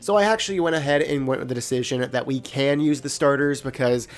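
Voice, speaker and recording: A man talks at a very fast pace. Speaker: gaming video creator. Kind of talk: casual gaming commentary.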